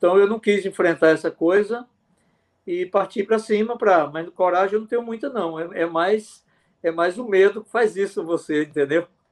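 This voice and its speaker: This man has a high voice and ordinary pitch variation. He talks at a moderate pace. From Pernambuco backlands, Brazil. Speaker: physician. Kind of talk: interview.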